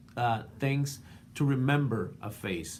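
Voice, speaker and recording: Audible room echo around a man's voice with ordinary pitch variation. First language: not English. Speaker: art student and portrait painter. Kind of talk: class video response. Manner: halting, many fillers.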